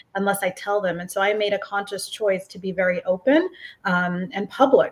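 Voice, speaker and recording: Somewhat breathy and at a medium pitch, a woman talks at a fairly quick pace with ordinary pitch variation. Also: big swings in loudness. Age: 40s. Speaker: psychologist and breast cancer survivor. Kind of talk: interview testimony.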